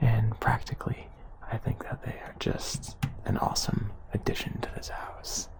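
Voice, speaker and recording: Whispering, a man's loudness rises and falls sharply, with noticeable background noise behind him. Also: moderate pace. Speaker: urban explorer vlogger. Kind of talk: vlog walkthrough narration. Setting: inside abandoned mansion. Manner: quiet, talking close to camera.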